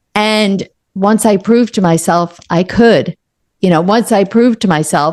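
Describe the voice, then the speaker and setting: A woman with a normal speaking voice talks at a fairly slow pace and very even loudness. Her pitch is medium and varies in an ordinary way. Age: 60s. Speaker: author and coach. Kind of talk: interview.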